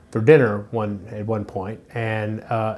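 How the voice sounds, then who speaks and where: A man with a Memphis accent speaks at a medium pitch. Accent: Southern US (Memphis). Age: 60s. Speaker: interviewee recalling childhood. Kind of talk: oral history interview. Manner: halting, many repetitions and fillers.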